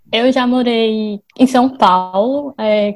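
A woman with a fairly high voice keeps her intonation fairly even. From Brazil, Fortaleza (Ceará). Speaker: company employee. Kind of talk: casual interview. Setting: remote recording from home.

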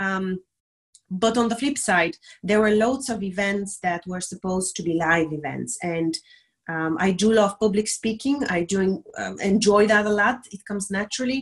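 A somewhat breathy woman's voice with a Bulgarian accent at a moderate pace. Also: medium pitch for a woman, ordinary pitch variation. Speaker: diversity and inclusion specialist. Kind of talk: interview on live stream. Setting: video call.

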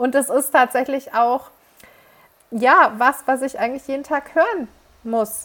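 A woman talks at a fairly slow pace in a high pitch with ordinary pitch variation. Her speech has long, frequent pauses. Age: 30s. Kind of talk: casual faith conversation.

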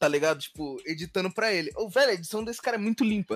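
Music runs in the background. Over it, a man talks at a very fast pace with lively intonation. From Rio de Janeiro, Brazil. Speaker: rapper and music artist. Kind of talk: casual chat.

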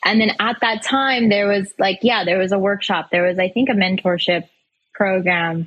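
In a plain, everyday voice, a woman of medium pitch speaks at a moderate pace with very even loudness and ordinary pitch variation. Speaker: financial advisor and speaker. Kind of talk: interview conversation.

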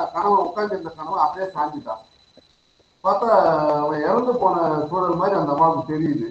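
A man's voice rises and falls in a normal way, with room echo clearly audible. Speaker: college principal asking questions. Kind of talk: question from audience.

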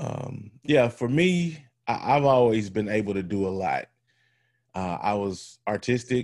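A man talks at a fairly slow pace in a fairly low pitch with ordinary pitch variation, in an unremarkable speaking voice. The recording is very clean, with a silent background. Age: 40s. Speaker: former pro football player and nonprofit leader. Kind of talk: interview.

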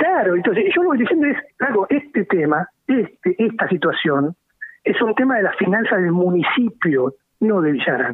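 With a high pitch, a man makes very wide pitch swings. His loudness stays very even at a moderate pace. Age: 50s. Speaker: local politician. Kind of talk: radio interview. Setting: phone call.

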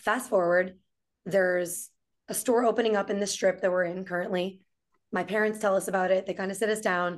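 A woman's unremarkable speaking voice with an American accent, medium in pitch, at a fairly quick pace with fairly even intonation. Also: quiet background. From New York City. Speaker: entrepreneur and restaurant owner. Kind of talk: casual chat.

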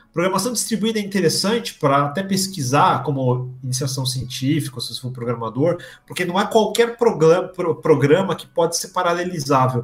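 The speech moves at a fairly quick pace with hardly any pauses against noticeable background noise. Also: man, fairly high pitch for a man, lively intonation. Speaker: software developer and video creator. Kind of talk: live-streamed interview.

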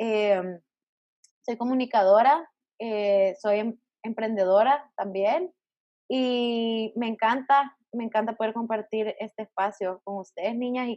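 With ordinary pitch variation, a woman's fairly high-pitched voice carries her words. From El Salvador. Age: 20s. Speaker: podcast host. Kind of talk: casual chat.

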